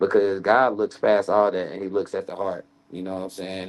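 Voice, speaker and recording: Speaking with an American accent, a man keeps to a fairly slow pace. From North Carolina. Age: 30s. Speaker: basketball coach and church drummer. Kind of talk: casual chat.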